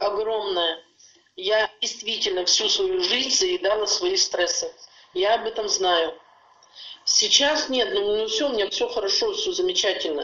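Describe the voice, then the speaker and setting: A woman with a fairly high voice swings her pitch very widely and leaves long, frequent pauses. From Urals, Russia (Yekaterinburg). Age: 60s. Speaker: customer giving a product testimonial. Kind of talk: testimony.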